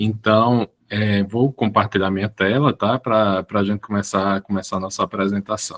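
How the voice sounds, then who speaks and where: With hardly any pauses, a man with a fairly low pitch speaks in a flat monotone at a moderate pace, in a dry, close sound with no echo. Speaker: professor and public administrator. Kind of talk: online lecture. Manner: halting, many word repetitions.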